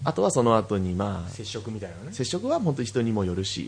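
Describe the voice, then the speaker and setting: Somewhat breathy, a man rushes along at a very fast pace with lively intonation. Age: 20s. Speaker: podcast co-host. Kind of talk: casual chat.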